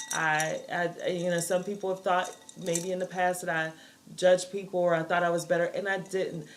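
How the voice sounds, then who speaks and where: A woman speaks at medium pitch and a fairly quick pace. Her intonation is monotone and flat, with noticeable background noise behind her. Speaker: talk show co-host. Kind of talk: casual chat.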